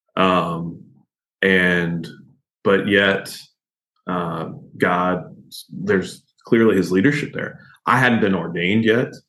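A man with a very deep, low pitch and a bright, sharp tone speaks very slowly, with long, frequent pauses and ordinary pitch variation. Room echo is audible. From Kentucky. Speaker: pastor. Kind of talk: interview conversation.

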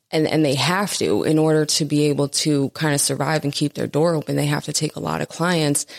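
The voice is monotone and flat, recorded with a dry, close sound and no echo. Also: woman. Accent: American. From New Jersey (Jersey City). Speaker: addiction treatment marketing director in recovery. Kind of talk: casual interview chat. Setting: studio.

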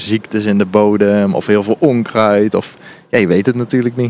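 A man speaks in a normal speaking voice at a fairly low pitch. His pace is moderate, with ordinary pitch variation. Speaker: gardening podcast co-host. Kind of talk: casual chat during a garden tour. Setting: outdoors in an allotment garden.

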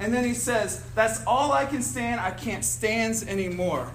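A man with an American accent speaks at a fairly slow pace in a high voice. Both room echo and noticeable background noise can be heard. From Cincinnati, Ohio. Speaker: youth ministry staff speaker. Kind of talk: seminar talk.

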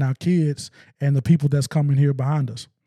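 On a very clean recording with a silent background, a man with an American accent speaks at a fairly high pitch in a dark, mellow, somewhat breathy tone. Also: dry, close sound with no echo. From US South, eastern Arkansas (West Memphis). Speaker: music promoter and nonprofit executive. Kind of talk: casual interview. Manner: halting, many repetitions and fillers.

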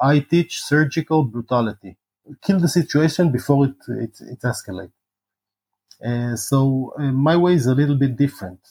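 A man with an Israeli accent speaks at a moderate pace in a fairly high pitch, somewhat breathy, with a dark, mellow tone, ordinary pitch variation and a dry, close sound with no echo. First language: Hebrew. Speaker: former special forces soldier and martial arts teacher. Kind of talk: interview.

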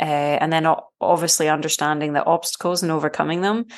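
Very deep and low in pitch, a woman speaks with a Scottish accent and fairly even intonation. The background is quiet. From Scotland. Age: 40s. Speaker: triathlete and screenwriter. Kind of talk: interview.

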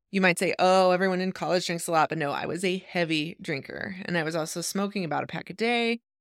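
On a very clean recording with a silent background, a woman with an American accent and an unremarkable speaking voice talks fairly quickly, fairly low in pitch, with fairly even intonation. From Idaho, US. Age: 40s. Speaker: podcast host. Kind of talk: monologue.

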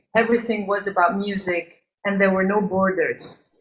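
A woman speaks with an Albanian accent at a medium pitch. Her intonation stays fairly even. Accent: Albanian-European accent in English. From Albania, then Geneva, Switzerland from age 10. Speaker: singer and composer. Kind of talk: interview. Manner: halting.

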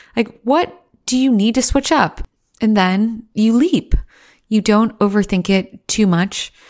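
A woman speaks in a normal speaking voice at a fairly high pitch and a fairly slow pace, with ordinary pitch variation. Her loudness stays very even, and the recording is very clean with a silent background. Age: 30s. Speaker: podcast host and executive coach. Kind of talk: solo podcast monologue.

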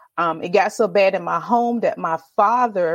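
Her intonation lively, a woman with a medium-pitched voice speaks at a moderate pace. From Virginia Beach, Virginia. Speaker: storyteller and podcast host. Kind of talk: casual interview chat. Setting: remote call, streamed live. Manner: animated.

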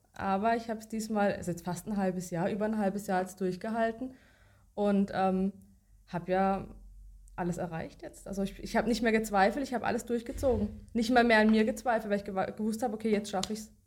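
At a very fast pace, a woman talks with fairly even intonation at a medium pitch. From Baden-Württemberg, Germany (Baden-Baden). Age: 30s. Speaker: coaching client, office worker. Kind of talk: interview testimony. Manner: halting, many fillers.

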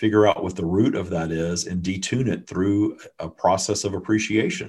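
A man's fairly low voice at a moderate pace, a normal speaking voice, with fairly even intonation over a quiet background. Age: 50s. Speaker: spiritual channeler and author. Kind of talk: interview.

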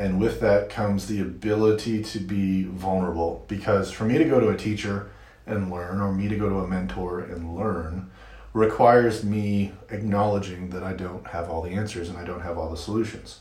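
Heard with audible room echo, a man with an American accent talks at a moderate pace and fairly even intonation. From US Midwest, Michigan. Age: 40s. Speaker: marketer and podcaster. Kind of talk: interview.

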